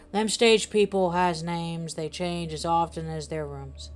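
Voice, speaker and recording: A put-on, guttural character voice at a moderate pace. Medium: read story. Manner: rambling, hesitant, salesy.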